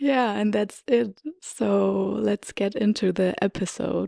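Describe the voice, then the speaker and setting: In a German accent, a woman speaks very slowly at a medium pitch with a dark, mellow tone, the sound dry and close with no echo on a very clean recording with a silent background. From Germany. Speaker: podcast host. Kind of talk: personal storytelling podcast; guided meditation. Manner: hesitant, with fillers.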